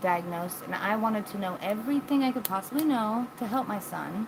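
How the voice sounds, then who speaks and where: A woman with an American accent talks at a fairly quick pace with ordinary pitch variation. There is noticeable background noise. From United States. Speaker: live streamer. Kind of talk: casual chat. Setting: live stream. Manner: loud, exuberant.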